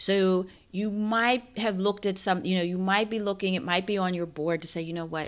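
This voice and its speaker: A normal speaking voice, mid-tempo, pitch moving in an ordinary way, captured in a very clean recording against total silence. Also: woman. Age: 40s. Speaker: style coach podcast host. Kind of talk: solo podcast monologue.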